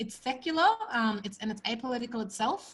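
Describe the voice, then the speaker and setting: Music plays in the background as a woman with an Australian accent speaks at a moderate pace. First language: Punjabi. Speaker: event host and organizer. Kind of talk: online event introduction.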